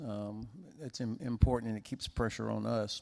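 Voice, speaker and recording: A man with an American accent speaks in a normal speaking voice at medium pitch, with fairly even intonation and a moderate pace. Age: 60s. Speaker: panelist, US policy expert. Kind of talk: panel discussion.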